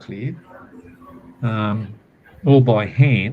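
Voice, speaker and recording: Speaking with an Australian accent, a man has a somewhat breathy voice. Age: 70s. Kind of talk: casual chat. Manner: halting, with repeated words.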